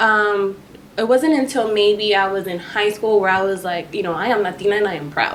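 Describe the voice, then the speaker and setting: The voice comes in a Spanish accent at a fairly quick pace, with ordinary pitch variation. Noticeable background noise is present. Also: woman, medium pitch for a woman. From Texas, Dallas (Farmers Branch). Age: 20s. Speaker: podcast guest. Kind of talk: casual chat.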